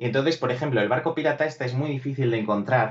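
This man talks at a fairly quick pace in a somewhat breathy voice. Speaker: toy collector; guest. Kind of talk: casual chat. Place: home room. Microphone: video call.

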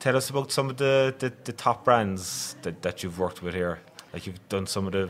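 With a Cork accent, a man talks at a moderate pace in a fairly low pitch. His pitch varies in an ordinary way, and light background noise can be heard. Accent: Irish (Cork). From Ireland. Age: 30s. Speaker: podcast host. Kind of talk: casual chat. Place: studio. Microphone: studio mic.

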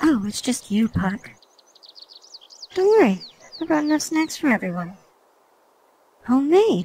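A female-sounding, cartoonish character voice with a high pitch for a woman and very wide pitch swings. It moves at a moderate pace with long, frequent pauses. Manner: friendly, easygoing.

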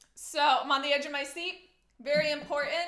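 Against a quiet background with audible room echo, a woman projects a raised, high-pitched voice in a bright, sharp tone. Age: 20s. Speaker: cello teacher; teacher. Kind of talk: livestream Q&A. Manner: animated. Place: home room. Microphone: webcam.

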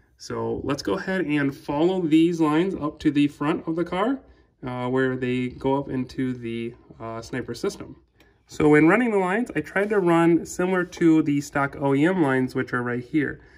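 The background stays quiet. Speaking at a moderate pace, the man shows ordinary pitch variation. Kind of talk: tutorial. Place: garage. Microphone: phone near.

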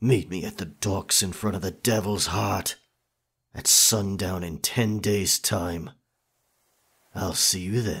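A man uses a put-on character voice with a fairly low pitch at a fairly slow pace, leaving long, frequent pauses. The recording is very clean with a silent background. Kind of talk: ASMR roleplay. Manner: confident, dominant.

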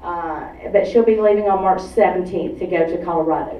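Delivered at a fairly quick pace, the speech carries audible room echo. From Atlanta, Georgia. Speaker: activist group director. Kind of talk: public talk. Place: hall.

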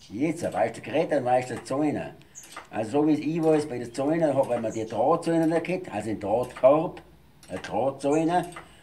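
Against light background noise, a man speaks at a fairly high pitch with ordinary pitch variation. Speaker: dialect speaker. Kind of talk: explaining dialect words in conversation.

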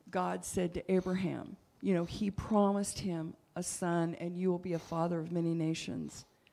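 Her dark, mellow voice sits fairly low for a woman, moving at a moderate pace with flat, monotone intonation. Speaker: church leader. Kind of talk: sermon. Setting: church. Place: church. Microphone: handheld.

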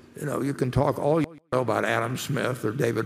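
Speaking at a fairly quick pace, a man talks with vocal fry. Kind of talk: interview answer. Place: hall. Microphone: podium.

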